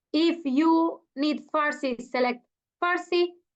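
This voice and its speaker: In an Italian accent, a woman speaks with a high pitch and ordinary pitch variation. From Italy. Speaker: network marketing leader. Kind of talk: motivational speech. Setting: video call. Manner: halting; enthusiastic.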